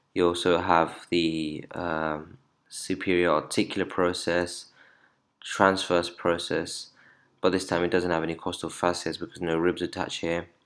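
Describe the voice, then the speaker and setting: A man's very deep, low voice, monotone and flat, on a very clean recording with a silent background. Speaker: anatomy tutor. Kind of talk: lecture. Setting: screen-recorded video lesson. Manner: fast talker.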